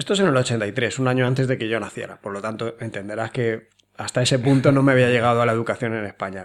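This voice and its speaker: A man's pitch varies in an ordinary way as he talks very fast. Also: medium pitch for a man. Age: 30s. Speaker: podcast host, survival school founder. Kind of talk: interview. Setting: home recording.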